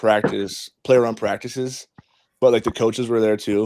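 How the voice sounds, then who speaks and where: A man with an American accent, a normal speaking voice, medium pitch and a moderate pace. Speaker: college football player. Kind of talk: casual chat.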